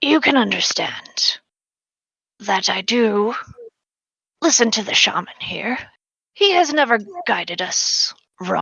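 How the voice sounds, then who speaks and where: In a put-on character voice, a female-sounding voice speaks at a fairly high pitch. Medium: actual play. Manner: measured, formal.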